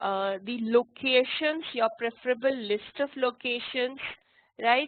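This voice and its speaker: This woman has a high pitch, ordinary pitch variation, and a fairly slow pace. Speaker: university lecturer. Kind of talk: lecture. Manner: hesitant with fillers.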